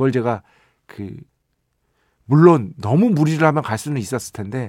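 Lively intonation from a man at a moderate pace, captured in a very clean recording against a silent background. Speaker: radio host and music writer. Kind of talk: radio show monologue. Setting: radio studio. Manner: casual, conversational.

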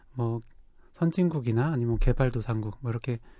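A man's dark, mellow tone with ordinary pitch variation over a quiet background. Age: young. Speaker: psychiatrist podcast co-host. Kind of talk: casual chat.

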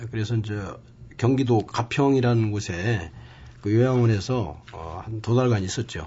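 A man speaks at a medium pitch with ordinary pitch variation and a fairly slow pace. His voice sounds strained and somewhat breathy. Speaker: poet. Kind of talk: interview. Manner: restrained.

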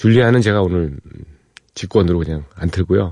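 A man speaks in a playful tone that is also dark and mellow. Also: quiet background. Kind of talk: radio DJ patter. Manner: informal and playful, joking about music trivia and his own show.

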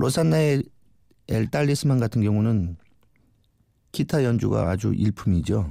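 Pausing long and often, a man speaks fairly slowly at a fairly low pitch, with a dark, mellow tone and very wide pitch swings. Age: 40s. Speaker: guest DJ, convenience store worker. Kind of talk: radio DJ music presentation.

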